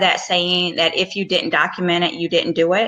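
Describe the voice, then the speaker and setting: A woman talks in a Southern US accent. Her pace is moderate. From US South. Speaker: physician and career coach. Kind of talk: advice talk. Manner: casual, with fillers.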